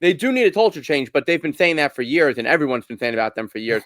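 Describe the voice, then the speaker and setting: Dry, close sound with no echo from a man with a Brooklyn accent. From Brooklyn, New York. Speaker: hockey podcaster. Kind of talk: casual sports discussion.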